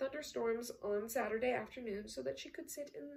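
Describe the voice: Plain reading aloud, nothing more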